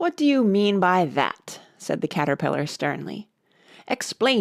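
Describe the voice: Someone reads aloud plainly. The background is quiet.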